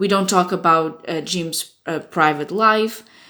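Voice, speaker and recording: Woman with a Portuguese accent, medium pitch, moderate pace and fairly even intonation. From Portugal. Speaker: fan website staff member. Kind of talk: informational warning video. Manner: casual, with hesitations.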